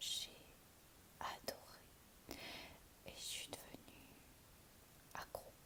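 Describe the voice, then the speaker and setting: Her pace is very slow. The woman speaks in a whisper. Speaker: ASMR content creator. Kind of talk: ASMR whispered relaxation video. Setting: home, sitting on a sofa. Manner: whispered, soft.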